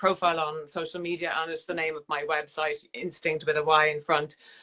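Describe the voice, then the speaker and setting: A woman's fairly low voice with a bright, sharp tone and an Irish accent. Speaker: yoga teacher. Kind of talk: interview.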